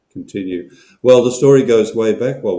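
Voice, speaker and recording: A man speaks at a moderate pace with ordinary pitch variation. It is a plain, everyday voice. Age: 60s. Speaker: professor. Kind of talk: webinar discussion.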